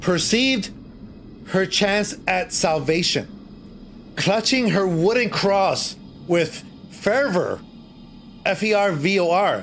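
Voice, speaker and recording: Over music in the background, the speech moves at a very slow pace with long, frequent pauses, very even loudness and ordinary pitch variation. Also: man, high pitch for a man. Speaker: streamer storyteller. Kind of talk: reading a horror story aloud on a live stream. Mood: playful, dramatic storytelling.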